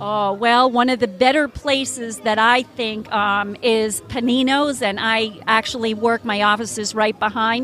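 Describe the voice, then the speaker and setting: A woman with an American accent speaks at a fairly slow pace with a fairly high pitch and hardly any pauses. Her intonation is fairly even, and there is noticeable background noise. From New Jersey. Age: 60s. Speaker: homeopathic wellness practitioner. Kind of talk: casual interview. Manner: hesitant, many fillers.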